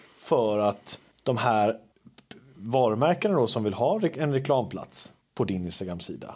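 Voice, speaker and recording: In an ordinary speaking voice, a man talks at a fairly slow pace, medium in pitch, with lively intonation. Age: 30s. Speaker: podcast host, social media creator. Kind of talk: casual chat. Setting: at home.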